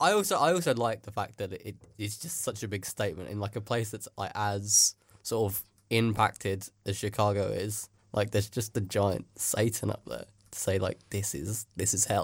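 This man's fairly low voice is somewhat breathy, with big swings in loudness. The recording is very clean, with a silent background. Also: ordinary pitch variation, moderate pace. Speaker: radio host. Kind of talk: casual comedy radio show chat. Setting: studio.

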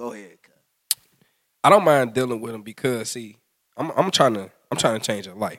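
The loudness swings widely throughout. The pace is moderate, and the pitch varies in an ordinary way. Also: man, medium pitch for a man. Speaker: podcast guest. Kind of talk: casual chat.

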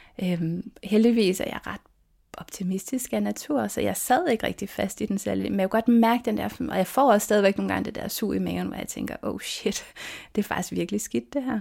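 The background is silent and the recording very clean. At a moderate pace, a woman talks. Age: 40s. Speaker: lawyer and minimalism blogger. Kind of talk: interview. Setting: her bedroom, head inside the wardrobe.

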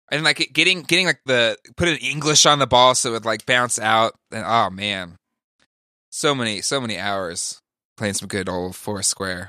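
A man with a plain, everyday voice speaks at a moderate pace and medium pitch, his intonation lively over a very clean recording with a silent background. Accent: American. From California. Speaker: podcaster. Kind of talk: casual chat. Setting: studio.

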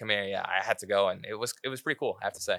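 A man with a Canadian accent talks at a very fast pace, his tone bright and sharp and his intonation fairly even. The recording is very clean, with a silent background and a dry, close sound with no echo. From Canada, Vancouver. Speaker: professional soccer player. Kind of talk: casual interview.

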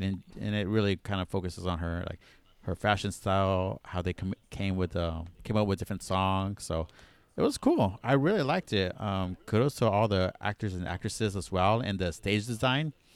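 A man with an unremarkable speaking voice, fairly low in pitch, at a moderate pace with ordinary pitch variation, dry, close sound with no echo, and a very clean recording with a silent background. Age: 30s. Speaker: podcast co-host. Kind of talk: casual chat.

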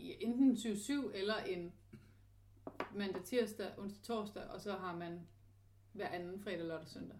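A woman speaks at a very slow pace, with long, frequent pauses and big swings in loudness. Her pitch varies in an ordinary way, and there is audible room echo along with noticeable background noise. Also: medium pitch for a woman. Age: 30s. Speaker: podcast host. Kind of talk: personal diary podcast. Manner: hesitant, many fillers.

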